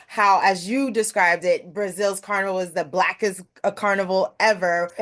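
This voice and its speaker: Against a quiet background, a woman with a plain, everyday voice speaks at a fairly quick pace and a medium pitch. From Brooklyn, New York. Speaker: interview host. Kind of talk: interview.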